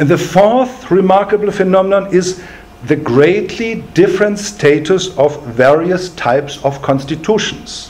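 A man with a German accent speaks with a high pitch and lively intonation. His pace is fairly slow and his loudness very even. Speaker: law professor. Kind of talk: lecture. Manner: formal. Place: meeting room.

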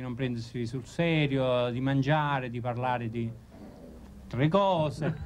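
A man with a Neapolitan accent talks at a moderate pace with ordinary pitch variation over light background noise. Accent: Neapolitan Italian. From Naples area, Italy. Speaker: actor and comedian. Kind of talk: interview answer. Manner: joking, playful. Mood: playful, joking. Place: home room.

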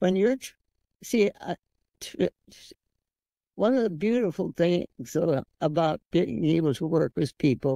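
Using vocal fry, a woman speaks at a fairly slow pace in a dark, mellow tone with lively intonation, in a dry sound with no echo and a quiet background. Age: 80s+. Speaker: physician. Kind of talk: interview answer. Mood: warm, reflective. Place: home room. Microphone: video call.

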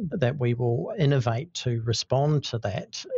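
A man with a New Zealand accent, medium-pitched, somewhat breathy, at a fairly slow pace. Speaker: architect. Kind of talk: interview.

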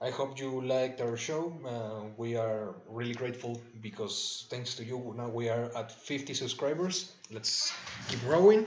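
At a fairly slow pace, a man talks at a medium pitch with ordinary pitch variation over noticeable background noise. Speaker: podcast host. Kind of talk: casual chat. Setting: live stream.

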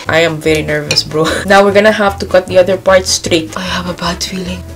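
Clear music plays behind a woman who talks very fast at a fairly low pitch, with ordinary pitch variation. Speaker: home cooking vlogger. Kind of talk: casual vlog chat. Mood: nervous, excited, playful. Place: home room. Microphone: phone near.

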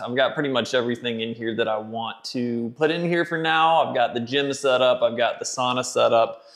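Moderate-paced speech from a man with ordinary pitch variation against a quiet background. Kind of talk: casual vlog chat. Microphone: phone near.

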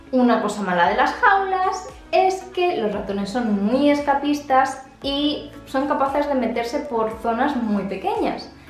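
A woman speaks at a fairly slow pace in a high pitch. There is audible room echo and light background noise. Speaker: pet care vlogger. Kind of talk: tutorial. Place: home room. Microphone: phone near.

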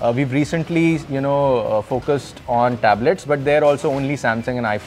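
Faint music plays in the background while the speech moves at a fairly quick pace. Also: man. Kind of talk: interview answer. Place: factory.

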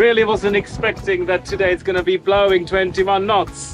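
Clear music plays in the background, and the voice has a dry sound with no echo. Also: man. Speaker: sailing vlogger. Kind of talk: casual vlog chat. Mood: playful mock complaining. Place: boat. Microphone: phone near.

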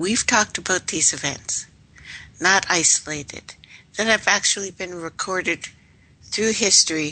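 At a fairly slow pace, a woman in a Canadian accent speaks with a bright, sharp tone and a medium pitch that shows ordinary variation. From Canada. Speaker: radio host. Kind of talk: live radio talk. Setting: live radio broadcast.

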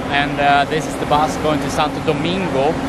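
Loud background noise sits behind a man's voice, which has a dry sound with no echo. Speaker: travel vlogger. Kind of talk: casual vlog chat. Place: station. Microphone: phone near.

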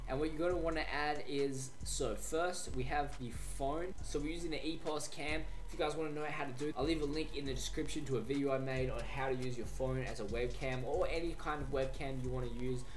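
With light background noise behind him, a man talks at a fairly quick pace with hardly any pauses. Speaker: tech tutorial creator. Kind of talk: tutorial. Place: home room. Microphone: studio mic.

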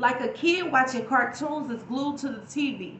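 The speech moves at a moderate pace with ordinary pitch variation. Audible room echo and light background noise are present. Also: woman. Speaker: YouTube poet and inspirational speaker. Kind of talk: spoken-word poetry performance with faith-based reflection. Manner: rhythmic, flowing spoken-word cadence with internal rhymes; earnest, preacherly and encouraging. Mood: earnest, inspirational. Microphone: phone near.

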